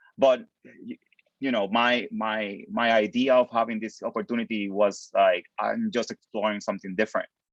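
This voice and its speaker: A man talks in a medium pitch with ordinary pitch variation. He speaks with a Puerto Rican accent. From Puerto Rico. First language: Spanish. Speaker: postdoctoral chemist. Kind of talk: panel discussion. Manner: halting, many fillers and repetitions.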